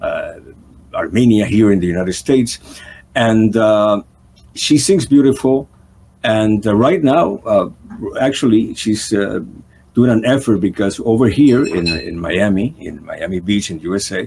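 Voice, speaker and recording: Speaking at a medium pitch and fairly slow pace, a man uses lively intonation and long, frequent pauses. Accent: non-native. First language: not English. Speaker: talk show host. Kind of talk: interview. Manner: halting, many fillers.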